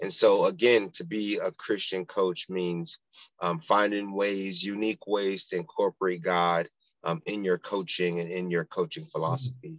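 A man with an American accent speaks at a moderate pace in an ordinary speaking voice, his pitch fairly low and his intonation lively. The sound is dry and close with no echo, over a quiet background. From South Florida (Pompano Beach). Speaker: football chaplain, former pro football player. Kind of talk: casual interview, testimony.

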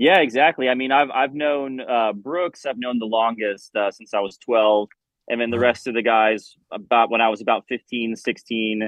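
With an American accent, a man uses a normal speaking voice at a medium pitch, moderate pace and ordinary pitch variation. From Florida, US South. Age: 30s. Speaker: rock band musician. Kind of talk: interview. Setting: video call.

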